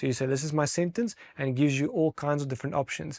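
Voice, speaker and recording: Talking at a very fast pace with a non-native accent and ordinary pitch variation, a man is heard on a very clean recording with a silent background. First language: not English. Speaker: technology expert. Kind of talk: interview. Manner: halting.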